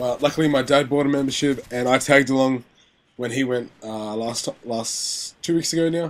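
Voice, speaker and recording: A man with an Australian accent, medium in pitch, at a moderate pace with fairly even intonation. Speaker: gaming commentator. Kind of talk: gameplay commentary. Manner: casual, rambling with filler words.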